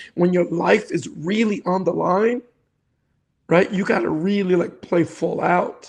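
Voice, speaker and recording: A high-pitched man in a New York accent, ordinary pitch variation, moderate pace, quiet background. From New York City, South Bronx. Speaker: cancer survivor and real estate investor. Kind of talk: interview testimony.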